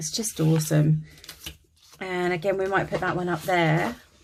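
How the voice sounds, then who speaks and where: A woman speaks at a moderate pace, her pitch fairly low, with a slight Kent accent. Noticeable background noise runs behind her. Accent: Dartford (Kent) English, slight, drops T's. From England, Dartford, Kent. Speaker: craft YouTuber. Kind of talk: casual crafting tutorial chat. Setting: home attic craft room. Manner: chatty, many fillers.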